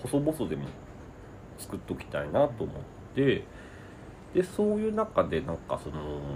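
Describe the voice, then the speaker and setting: A man speaks at a fairly slow pace, leaving long, frequent pauses. His loudness swings widely. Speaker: writer and comedy sketch writer. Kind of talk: casual interview.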